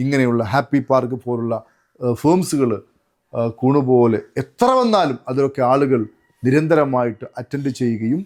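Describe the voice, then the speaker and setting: A man talks at a medium pitch with ordinary pitch variation. He has a plain, everyday voice. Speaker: motivational trainer. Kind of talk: motivational talk.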